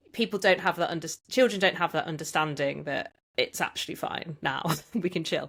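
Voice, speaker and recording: Speaking fairly quickly with a West Midlands accent, a woman has a fairly low pitch and ordinary pitch variation. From English Midlands (Tamworth). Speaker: podcast host. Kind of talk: casual interview.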